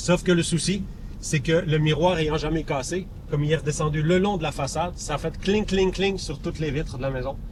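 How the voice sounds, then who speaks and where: A man's fairly high-pitched voice with audible room echo. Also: fairly even intonation, fairly quick pace. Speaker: rally organizer. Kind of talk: on-location TV interview.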